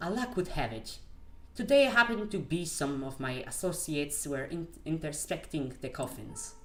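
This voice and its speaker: The speaker has a non-native accent. Music plays in the background. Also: moderate pace. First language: not English. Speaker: gamer streamer. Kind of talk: reading game text aloud. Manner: halting.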